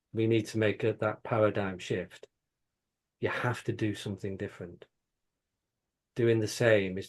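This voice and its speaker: In a Manchester accent, a man speaks at a fairly low pitch and a moderate pace. He takes long, frequent pauses against a quiet background. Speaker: company CEO. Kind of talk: panel conversation. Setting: video call. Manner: repeats words, animated.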